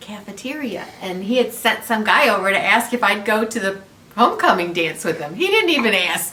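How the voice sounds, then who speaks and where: With very wide pitch swings, a woman speaks amid audible room echo and noticeable background noise. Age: 60s. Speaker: channel owner's mother. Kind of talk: casual chat. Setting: home video chat over wine.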